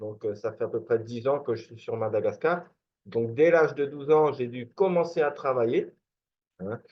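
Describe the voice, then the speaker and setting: A man's fairly high voice at a moderate pace, with ordinary pitch variation and big swings in loudness. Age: 40s. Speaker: network marketing promoter. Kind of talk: sales presentation. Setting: screen-share video presentation. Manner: halting, many filler words.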